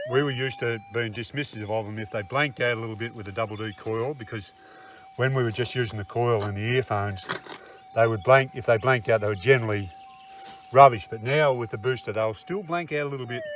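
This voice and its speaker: Over noticeable background noise, a man talks at a very fast pace and a medium pitch, with ordinary pitch variation and big swings in loudness. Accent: Australian. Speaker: gold prospector, channel co-host. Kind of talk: casual chat while metal detecting. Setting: outdoors in the bush. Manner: quiet, subdued.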